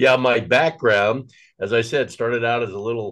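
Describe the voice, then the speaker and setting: Against a quiet background, a man of medium pitch uses a plain, everyday voice at a moderate pace with fairly even intonation. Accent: American. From Nebraska, US Midwest. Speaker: political action committee chairman and former radio host. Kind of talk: casual chat.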